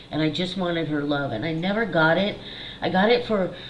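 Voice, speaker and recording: A woman keeps a moderate pace while noticeable background noise and audible room echo fill the recording. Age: 50s. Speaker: psychic medium and channel host. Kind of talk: personal monologue to camera. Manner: casual, candid.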